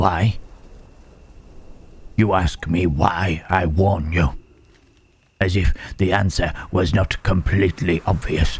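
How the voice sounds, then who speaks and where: Using a put-on character voice, a man speaks at a fairly slow pace in a very deep, low pitch, with long, frequent pauses. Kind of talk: audio roleplay. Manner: whispered, hushed.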